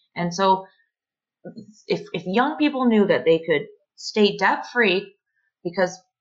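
Against a quiet background, a woman with a Canadian accent and a plain, everyday voice speaks at a moderate pace and medium pitch with lively intonation. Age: 30s. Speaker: electrical apprentice. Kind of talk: podcast interview.

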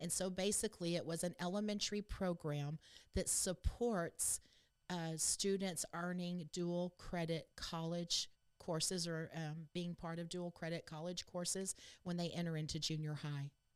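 On a very clean recording with a silent background, a woman with a Texan accent speaks at a moderate pace, fairly low in pitch and monotone, with flat intonation. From Texas. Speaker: state education board member. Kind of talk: interview.

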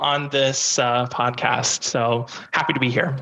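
Moderate-paced speech from a man in an American accent, with noticeable noise behind it. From US Midwest, Indiana. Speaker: sales employee. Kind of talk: casual chat.

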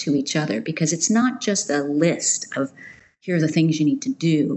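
With an American accent, a woman speaks in a normal speaking voice at a moderate pace, her pitch fairly low and her intonation lively. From United States. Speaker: nonprofit managing director. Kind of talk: interview.

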